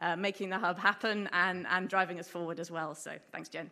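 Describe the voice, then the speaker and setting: A woman with an English accent speaks at a medium pitch and a fairly quick pace. Her tone is bright and sharp. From England. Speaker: marine researcher. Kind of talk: conference talk. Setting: stage with audience.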